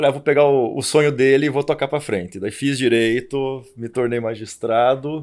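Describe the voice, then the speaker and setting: In a Curitiba accent, the voice shows ordinary pitch variation on a very clean recording with a silent background. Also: man. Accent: Curitiba accent, noticeable. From Curitiba, Paraná, southern Brazil. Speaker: labor judge and economist. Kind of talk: podcast interview. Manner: halting, repeats words.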